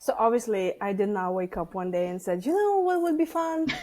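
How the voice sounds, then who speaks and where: A fairly high-pitched woman in a Lithuanian accent, fairly quick, with very wide pitch swings amid noticeable background noise. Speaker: stress management coach and author. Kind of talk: podcast interview.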